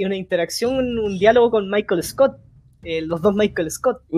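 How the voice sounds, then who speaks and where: A woman with a Chilean accent speaks at a moderate pace and medium pitch, her dark, mellow tone carrying ordinary pitch variation. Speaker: podcast host. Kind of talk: casual chat.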